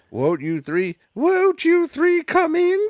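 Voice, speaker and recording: Recorded dry and close with no echo, a man uses a put-on character voice pitched high. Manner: creepy.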